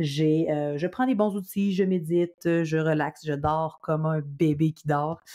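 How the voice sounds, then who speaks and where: A woman with a Quebec accent speaks at a fairly low pitch in a dark, mellow tone, with ordinary pitch variation. The recording is very clean, with a silent background. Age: 30s. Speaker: podcast host. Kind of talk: casual monologue. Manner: energetic.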